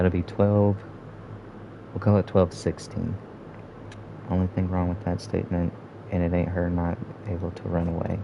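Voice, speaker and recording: A man speaks at a very deep, low pitch with long, frequent pauses. Noticeable background noise runs underneath. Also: moderate pace. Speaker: gaming streamer. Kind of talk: live gameplay commentary. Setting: live stream. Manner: monotone; casual, profane.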